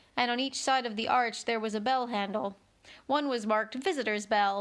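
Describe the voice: Simple, plain reading aloud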